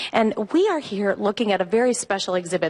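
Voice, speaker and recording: A woman talks at a fairly quick pace in a fairly high pitch, with noticeable background noise. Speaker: TV news reporter. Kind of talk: live TV field interview. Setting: museum gallery, live broadcast. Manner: loud. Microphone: voice echoing in the room.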